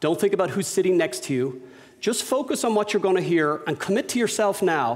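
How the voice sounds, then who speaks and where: With an Irish accent, a man talks at a fairly quick pace and with lively intonation. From Ireland, Dublin. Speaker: business owner and speaker. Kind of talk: lecture. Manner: unscripted, conversational.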